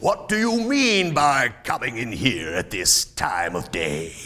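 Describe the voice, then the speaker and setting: Using a put-on character voice, a man growls in a gruff way at a fairly slow pace. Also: medium pitch for a man. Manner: gruff, growling.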